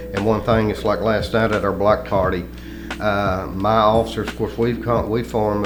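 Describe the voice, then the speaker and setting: A man with a Southern US accent speaks at a fairly low pitch. Noticeable background noise and audible room echo surround him. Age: 70s. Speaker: retired police chief and political candidate. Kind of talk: radio interview. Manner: halting.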